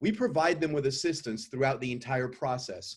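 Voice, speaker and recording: His voice has a somewhat breathy quality. It belongs to a man. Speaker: company CEO pitching investors. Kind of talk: investor pitch presentation.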